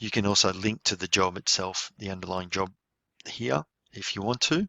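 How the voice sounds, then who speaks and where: A man's fairly low voice, a normal speaking voice, at a moderate pace. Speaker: software trainer. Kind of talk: tutorial.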